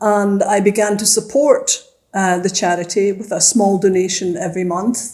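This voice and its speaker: A woman with a Glasgow accent speaks with fairly even intonation. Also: medium pitch for a woman, moderate pace. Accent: Scottish (Glasgow). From Scotland, Glasgow. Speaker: retired teacher and former city councillor. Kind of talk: interview.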